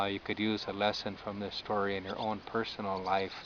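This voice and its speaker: With an American accent, a man speaks at a fairly low pitch in a monotone, flat intonation. Noticeable background noise sits behind him. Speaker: storyteller. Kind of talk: oral storytelling. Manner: slow; hesitant, many fillers.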